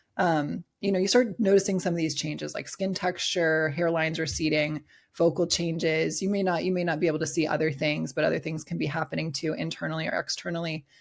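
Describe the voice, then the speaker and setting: A woman with vocal fry and a very deep, low pitch, at a very fast pace with hardly any pauses. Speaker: bikini bodybuilding pro and coach. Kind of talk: podcast interview. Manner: animated.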